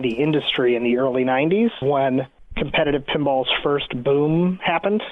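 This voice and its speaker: Fairly high in pitch, a man talks at a moderate pace with an American accent. His pitch varies in an ordinary way, and there is noticeable background noise. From New York. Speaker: pinball association president. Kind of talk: interview.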